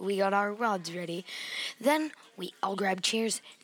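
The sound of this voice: An unforced reading voice, its pitch showing ordinary variation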